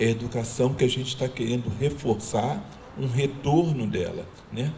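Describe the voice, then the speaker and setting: Fairly slow speech comes through over noticeable background noise. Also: man. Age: 60s. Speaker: community speaker. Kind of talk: panel talk.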